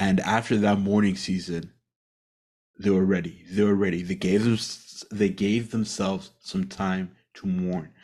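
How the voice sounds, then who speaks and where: Speaking at a fairly slow pace with long, frequent pauses, a man uses a fairly low pitch. The background is quiet. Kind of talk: solo devotional monologue. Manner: halting, stumbling over words.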